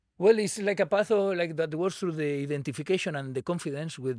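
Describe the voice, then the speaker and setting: Delivered at a fairly quick pace with lively intonation, this Catalan-accented voice has a dry, close sound with no echo on a very clean recording with a silent background. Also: man. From Spain, Barcelona. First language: Spanish or Catalan. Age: 40s. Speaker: Buddhist meditation community organizer. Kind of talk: casual interview.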